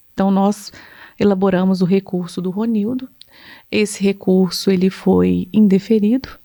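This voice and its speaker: Her voice has a dark, mellow tone at medium pitch, and this woman speaks in a flat monotone. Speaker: psychologist. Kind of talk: casual podcast conversation.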